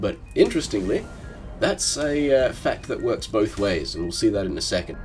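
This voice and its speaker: A man talks at a moderate pace. Behind him, music is playing. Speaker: gaming commentator. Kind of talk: gameplay commentary voice-over. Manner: casual.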